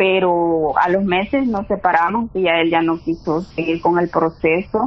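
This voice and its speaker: Medium-pitched female speech with typical pitch movement. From El Salvador. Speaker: real estate investor. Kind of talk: interview.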